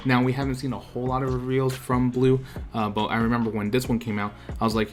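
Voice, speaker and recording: Against noticeable background noise, a man talks very fast at a medium pitch. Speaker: card game YouTuber. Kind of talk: casual video commentary. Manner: animated.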